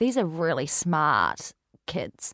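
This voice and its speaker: A woman talks with a plain, everyday voice at a fairly low pitch and moderate pace. The recording is very clean, with a silent background. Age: 20s. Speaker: hair care brand founder. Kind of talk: casual chat.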